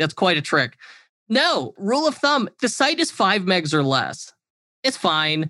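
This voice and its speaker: A man speaks in a raised, projected voice, high for a man, with very wide pitch swings and a bright, sharp tone. The pace is fairly slow, and the sound is dry and close with no echo against a quiet background. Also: very even loudness. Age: 30s. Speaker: e-commerce agency owner and consultant. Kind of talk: interview.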